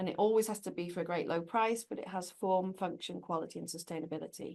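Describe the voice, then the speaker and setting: A woman with a British accent talks at a fairly quick pace, her medium pitch rising and falling in an ordinary way. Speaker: corporate sustainability executive. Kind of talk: interview conversation.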